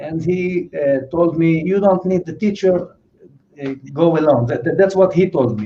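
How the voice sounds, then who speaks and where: A man speaks with a non-native accent and a high pitch. His intonation is lively. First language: not English. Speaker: drummer. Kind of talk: interview. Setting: livestream. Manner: halting.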